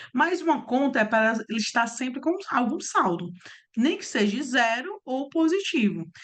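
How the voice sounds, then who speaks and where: A woman speaks at a moderate pace in a high pitch. Her pitch moves in very wide swings. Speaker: accounting instructor. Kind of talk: online class. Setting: online video class.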